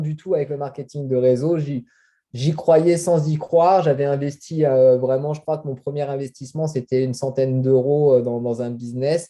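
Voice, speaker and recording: A man speaks in a dark, mellow tone at a fairly high pitch and a moderate pace. His intonation stays fairly even while his loudness swings widely. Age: 30s. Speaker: network marketing distributor. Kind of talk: interview. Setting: video call. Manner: halting, many hesitations.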